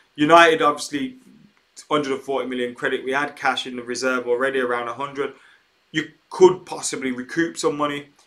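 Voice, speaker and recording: A man with an English accent speaks at a fairly high pitch, his intonation fairly even. His loudness swings widely. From England. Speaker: football YouTuber. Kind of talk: live stream chat. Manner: casual, with filler words.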